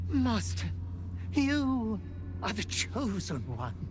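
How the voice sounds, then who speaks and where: A put-on character voice at a very slow pace, under loud background noise. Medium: machinima.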